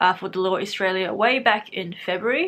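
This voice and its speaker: A woman speaks with a New Zealand accent. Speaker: youtuber / university student. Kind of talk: casual vlog storytelling. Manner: casual, filler-heavy.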